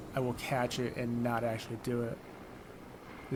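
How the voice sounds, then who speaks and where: Over noticeable background noise and audible room echo, a man speaks at a moderate pace in a medium pitch with monotone, flat intonation. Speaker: gaming commentator. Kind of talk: casual gameplay commentary. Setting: home, playing on PlayStation. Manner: relaxed, conversational.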